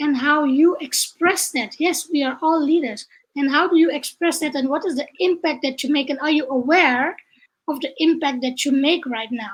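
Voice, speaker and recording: A woman speaks with a Dutch accent and a high pitch. Her pace is moderate and her pitch variation ordinary. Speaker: leadership trainer and coach. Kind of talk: online interview.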